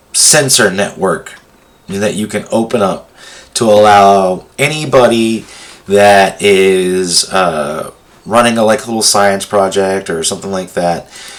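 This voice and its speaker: Over noticeable background noise, a man talks in a fairly low pitch. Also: ordinary pitch variation, fairly slow pace. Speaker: tech tutorial presenter. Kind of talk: tutorial. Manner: halting, many fillers.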